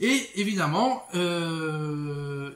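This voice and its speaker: The man speaks in a high register. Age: 30s. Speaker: bookseller. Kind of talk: casual vlog monologue. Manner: hesitant, many fillers.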